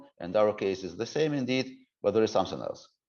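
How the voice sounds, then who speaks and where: A man speaks at a medium pitch with ordinary pitch variation and a Ukrainian accent. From Ukraine. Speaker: civic reform expert. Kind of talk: interview. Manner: halting, many fillers and restarts.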